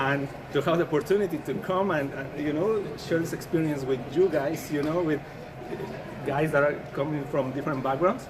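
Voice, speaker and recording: Noticeable background noise and audible room echo surround a man at a moderate pace. His voice is fairly high with fairly even intonation. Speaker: team representative, football player. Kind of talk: interview.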